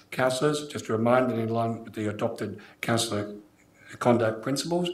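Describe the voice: Strong room echo surrounds a man who speaks at a fairly quick pace.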